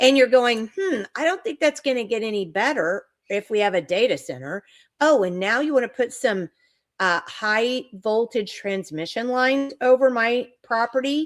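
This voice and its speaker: A woman uses a normal speaking voice at a fairly high pitch, moving at a moderate pace with lively intonation. The recording is very clean with a silent background and a dry, close sound with no echo. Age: 60s. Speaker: online talk show host. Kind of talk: live-stream interview chat. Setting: live stream.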